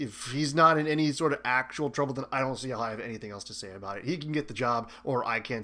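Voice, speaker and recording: A man's raspy, put-on character voice of medium pitch at a fairly quick pace, in a very clean recording with a silent background. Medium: read story. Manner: careful, sincere.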